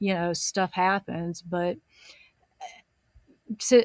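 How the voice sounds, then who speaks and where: A woman speaks with a Southern US accent at a medium pitch. Her intonation stays fairly even. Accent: Southern US drawl. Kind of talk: commentary podcast talk. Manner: slow.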